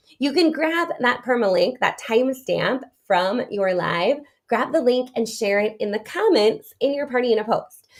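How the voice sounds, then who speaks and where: A woman with a high voice sounds animated, her intonation lively. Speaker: direct sales business coach. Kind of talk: live-streamed training. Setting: live social media video. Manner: fast.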